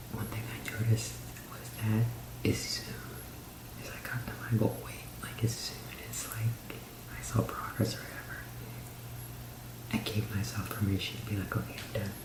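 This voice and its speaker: A man whispering with long, frequent pauses against noticeable background noise. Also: moderate pace. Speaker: ASMR YouTuber. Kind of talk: ASMR whispered personal story; casual talk to camera. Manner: whispered.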